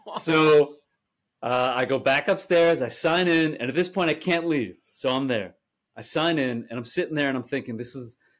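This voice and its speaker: In an American accent, a man talks with a normal speaking voice. His pace is moderate and his pitch varies in an ordinary way. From US Northeast, Staten Island, New York. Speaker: actor and comedy director. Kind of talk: casual chat. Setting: remote recording from home.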